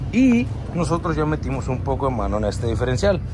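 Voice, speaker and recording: A man is speaking. Noticeable background noise runs underneath. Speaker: shop owner vlogger. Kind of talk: casual vlog chat. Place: workshop. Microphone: phone near.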